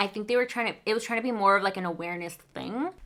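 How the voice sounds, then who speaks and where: The speaker has a Spanish accent, lively intonation and a bright, sharp tone. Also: woman. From Mexico. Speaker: book vlogger. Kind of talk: casual chat.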